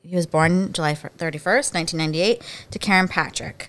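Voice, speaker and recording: A woman with a Philadelphia accent speaks at a fairly low pitch. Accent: Philadelphia-area American. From US, Pennsylvania (Bucks County, near Philadelphia). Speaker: podcast host. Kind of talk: casual chat.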